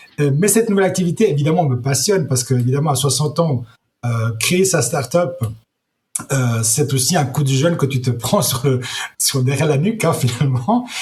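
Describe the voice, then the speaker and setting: A fairly quick, somewhat breathy male voice with fairly high pitch, lively intonation and very even loudness. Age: 60s. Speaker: entrepreneur, startup founder. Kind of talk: interview. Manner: halting, many repetitions.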